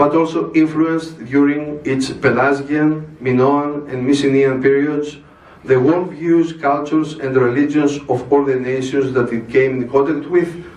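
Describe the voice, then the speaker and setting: Room echo is audible and background noise is noticeable as a man talks at a fairly slow pace, his pitch fairly high and his intonation fairly even. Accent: Greek. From Greece. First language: Greek. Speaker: religious speaker. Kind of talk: formal speech. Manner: formal.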